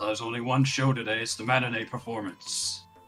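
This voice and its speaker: A man's put-on character voice at a very fast pace, with clear music in the background. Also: medium pitch for a man. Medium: actual play. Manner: upbeat, brisk.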